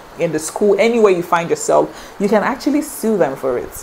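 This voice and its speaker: Fairly quick speech from a woman, with noticeable noise in the background. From Nigeria. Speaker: vlogger. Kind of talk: casual talk to camera.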